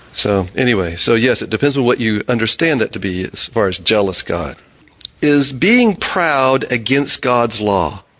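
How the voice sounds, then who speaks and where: There is noticeable background noise as the man speaks at a moderate pace. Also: medium pitch for a man, lively intonation. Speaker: Bible study teacher. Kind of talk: Bible study discussion. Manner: halting.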